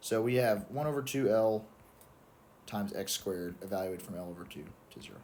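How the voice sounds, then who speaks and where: A man's fairly low, dark, mellow voice at a moderate pace, with ordinary pitch variation and audible room echo. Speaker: student explaining exam solutions. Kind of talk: tutorial. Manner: casual, self-correcting with fillers.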